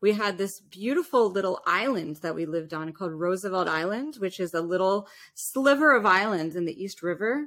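A woman's ordinary speaking voice in an American accent, medium in pitch, with lively intonation, a fairly quick pace and hardly any pauses. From New York City. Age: 30s. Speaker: opera and musical theatre singer. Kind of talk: interview.

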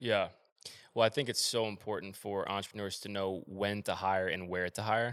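A man speaks at a moderate pace with fairly even intonation and a fairly low pitch. It is a plain, everyday voice on a very clean recording with a silent background. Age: 20s. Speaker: podcast host. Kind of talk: casual interview chat.

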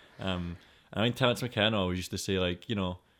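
A man with a Scottish accent speaks with ordinary pitch variation. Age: 20s. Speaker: podcast host. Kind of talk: casual chat.

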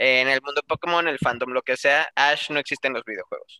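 Moderate pace in a dry, close sound with no echo. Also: man. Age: 20s. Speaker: podcast guest, gaming enthusiast. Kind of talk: casual chat. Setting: video call.

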